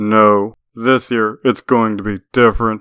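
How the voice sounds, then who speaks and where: A man's shaky, put-on character voice at medium pitch, fairly slow, with monotone, flat intonation. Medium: read story. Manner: haughty, shaky under pressure.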